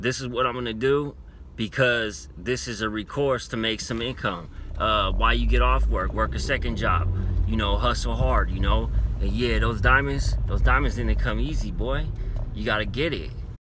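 A man's very deep, low voice at a moderate pace, dry with no echo, over noticeable background noise. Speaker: delivery driver vlogger. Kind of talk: casual vlog chat. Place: car. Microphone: phone near.

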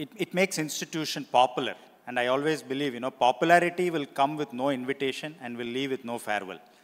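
A man with an Indian accent talks at a very fast pace. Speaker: university vice-chancellor moderating a panel. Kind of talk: panel discussion. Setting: stage with audience. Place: stage. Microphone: handheld.

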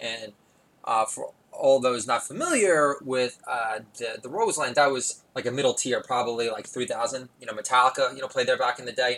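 A man's normal speaking voice at a medium pitch, a moderate pace and fairly even intonation. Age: 40s. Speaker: podcast host. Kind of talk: solo comedic monologue. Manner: rambling with many filler words.

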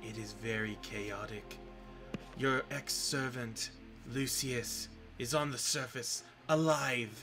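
Put-on character voice from a man at a fairly slow pace, with long, frequent pauses and clear music in the background. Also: medium pitch for a man. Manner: gleeful, theatrical, conspiratorial.

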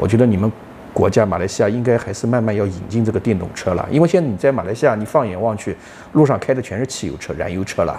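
With light background noise, a man talks at a very fast pace with ordinary pitch variation. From China. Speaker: partner of host, expat living in Malaysia; vlogger. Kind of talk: casual chat. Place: home room. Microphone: lapel.

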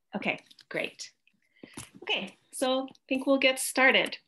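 A woman speaks with a Canadian accent. Her pace is fairly slow and her tone bright and sharp. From Canada. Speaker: organic farmer and teacher. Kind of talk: presentation lecture. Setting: video call from home. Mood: warm, friendly. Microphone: video call.

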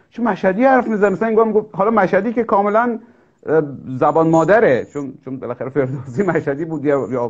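A man with a high pitch and very wide pitch swings at a moderate pace, over a quiet background. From Iran, Mashhad (Khorasan); Iran. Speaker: talk show host, translator; talk show host. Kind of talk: casual interview. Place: home room. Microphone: video call.

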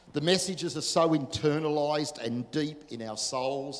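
This man speaks with an Australian accent, his fairly high pitch moving in fairly even intonation. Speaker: pastor. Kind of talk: sermon. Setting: church. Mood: earnest, emotional testimony. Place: church. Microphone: handheld.

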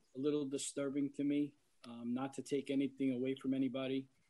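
In a New York accent, a man speaks with a dark, mellow tone at a fairly high pitch. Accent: New York area American. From Yorktown, New York. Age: 60s. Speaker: fire department emergency service veteran, resident. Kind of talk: public comment at a meeting. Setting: video teleconference. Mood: emotional, defensive of police. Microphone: video call.

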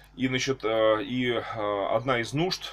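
The pitch sits in the medium range. The speaker is a man. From Russia, Tula. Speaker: archbishop, clergyman. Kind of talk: video address to followers. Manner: halting, with fillers. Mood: earnest, preacher-like fervor. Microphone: webcam.

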